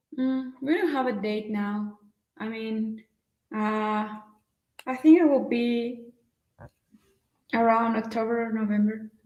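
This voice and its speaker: Very slowly and somewhat breathily, a woman speaks in a fairly high pitch, leaving long, frequent pauses. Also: fairly even intonation. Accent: Spanish. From Mexico. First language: Spanish. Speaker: travel vlogger. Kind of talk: casual chat. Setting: live stream. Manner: halting.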